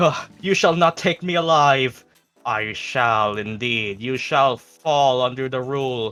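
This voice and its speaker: In a put-on character voice, the speaker growls at a fairly slow pace. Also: man, medium pitch for a man. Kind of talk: theatrical, archaic. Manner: growling, defiant.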